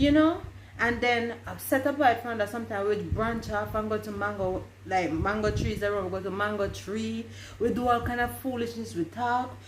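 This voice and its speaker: A woman talks at a moderate pace. There is noticeable background noise and audible room echo. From Jamaica, Westmoreland. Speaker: vlogger. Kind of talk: casual chat.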